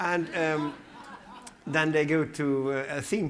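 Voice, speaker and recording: With a Dutch accent, a man speaks very slowly at a fairly high pitch, and the room echo is audible. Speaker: museum director. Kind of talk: conference Q&A. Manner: halting.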